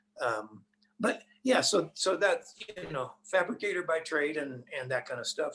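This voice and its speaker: A man with an American accent at a moderate pace, his pitch swinging very widely. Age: 70s. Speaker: race car driver. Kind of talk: interview. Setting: podcast.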